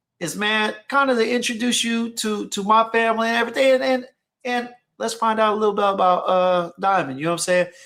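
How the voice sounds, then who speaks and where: A man talks with a bright, sharp tone at an extremely high pitch, his pitch varying in an ordinary way. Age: 40s. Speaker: fragrance channel host. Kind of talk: live stream chat. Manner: calm.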